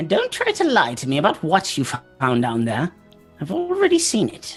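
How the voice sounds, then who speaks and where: Faint music plays behind a man doing a high-pitched, put-on character voice. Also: moderate pace. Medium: actual play. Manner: impatient, griping.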